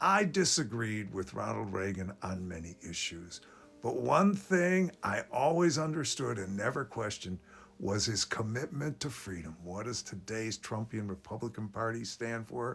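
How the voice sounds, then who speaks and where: Speaking at a moderate pace, a man uses a medium pitch with very wide pitch swings. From US, child of immigrants. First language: Polish and Yiddish. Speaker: political commentator. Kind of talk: political commentary monologue.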